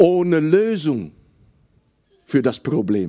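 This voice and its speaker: Speaking very slowly in a Dutch accent, a man with a fairly high pitch has a dark, mellow tone and very wide pitch swings. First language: Dutch (speaking German). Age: 60s. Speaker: preacher. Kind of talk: sermon. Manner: halting.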